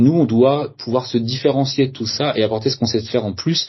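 Fairly quick, somewhat breathy speech from a man, medium in pitch, with ordinary pitch variation. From Brittany, France (Saint-Malo area). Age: 30s. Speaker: hotel founder, entrepreneur. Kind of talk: interview. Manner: halting, many hesitations and repeated words.

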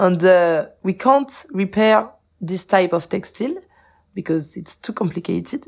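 A woman with a French accent and a medium pitch, lively in intonation, on a very clean recording with a silent background. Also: fairly slow pace, big swings in loudness. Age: 20s. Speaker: charity co-founder. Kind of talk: interview. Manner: halting.

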